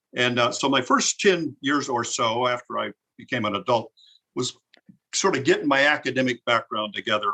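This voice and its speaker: A man speaks very fast at medium pitch with ordinary pitch variation. His tone is bright and sharp, and the sound is dry and close with no echo. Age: 70s. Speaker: retired scientist and business executive. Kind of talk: interview conversation. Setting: podcast. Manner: halting, with repetitions.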